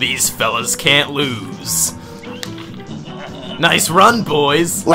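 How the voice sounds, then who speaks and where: A man's booming, put-on character voice at a very slow pace, with clear music in the background. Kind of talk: comic overacting. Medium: game stream. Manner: menacing, gloating.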